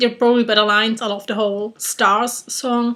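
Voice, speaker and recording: A woman speaks with a German accent at a moderate pace. Her pitch is fairly high and her intonation monotone and flat. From Germany. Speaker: YouTuber. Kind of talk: casual vlog challenge. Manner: hesitant, many fillers.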